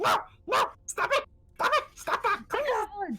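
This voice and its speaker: A squeaky, extremely high put-on character voice speaks at a fairly slow pace. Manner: panicked, pleading.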